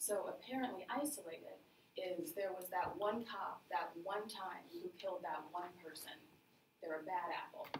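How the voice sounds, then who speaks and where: With noticeable background noise around her, a woman speaks at a moderate pace. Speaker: presenter. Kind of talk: lecture. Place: meeting room. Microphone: camera far.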